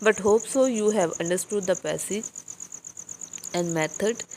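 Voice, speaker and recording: This is a woman speaking with ordinary pitch variation. Noticeable background noise sits behind her voice. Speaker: English teacher for exam prep. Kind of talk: lecture. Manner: slow.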